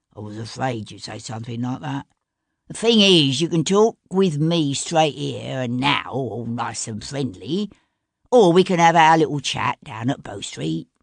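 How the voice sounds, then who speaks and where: In a put-on character voice at low-to-middle pitch, the speaker performs against a quiet background. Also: moderate pace. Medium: read story. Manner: cool, mocking.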